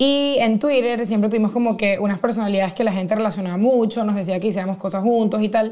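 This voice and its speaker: Against a quiet background, a woman talks at a very fast pace with hardly any pauses, very even loudness and fairly even intonation. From Venezuela, Caracas. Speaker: podcaster and comedian. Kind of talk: casual chat. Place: studio. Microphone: lapel.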